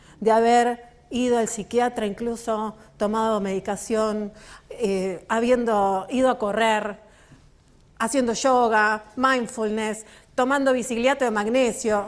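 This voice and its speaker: Speaking very slowly with a Rioplatense accent, a woman uses a fairly high pitch and a monotone, flat intonation. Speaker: author and work psychologist. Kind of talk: book launch talk. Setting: stage with audience.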